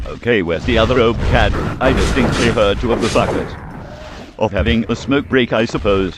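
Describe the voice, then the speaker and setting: A man with a British accent and medium pitch talks at a fairly quick pace with very even loudness. Noticeable background noise is present. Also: ordinary pitch variation. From Britain. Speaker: gaming YouTuber. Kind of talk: gameplay walkthrough commentary.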